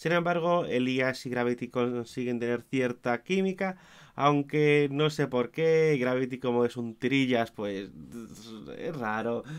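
Against a quiet background, a man speaks at medium pitch and a very slow pace. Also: ordinary pitch variation. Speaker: wrestling commentator / YouTuber. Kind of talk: show review monologue.

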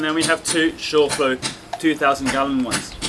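A man speaking at a fairly slow pace, with music in the background. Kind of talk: tutorial. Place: boat. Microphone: camera far.

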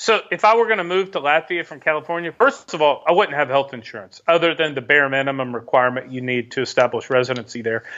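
A man speaks at a fairly quick pace in a fairly high voice with ordinary pitch variation against a quiet background. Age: 40s. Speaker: expat investor and asset protection adviser; podcast guest. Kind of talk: casual interview. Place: home room.

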